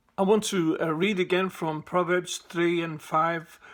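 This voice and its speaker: A man speaks with a Liverpool accent. His pitch is high. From Liverpool, England. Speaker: evangelist. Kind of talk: personal testimony to camera. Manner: casual, conversational.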